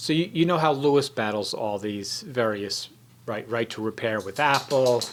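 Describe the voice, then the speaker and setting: The man's voice sits at a medium pitch and varies in an ordinary way. He keeps to a moderate speed. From New York, Staten Island. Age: 60s. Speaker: YouTuber, audio tech commentator. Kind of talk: casual vlog monologue. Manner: halting, with many fillers.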